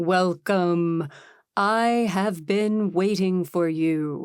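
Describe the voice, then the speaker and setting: A woman puts on a booming character voice at a medium pitch. She speaks very slowly. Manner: booming, grand.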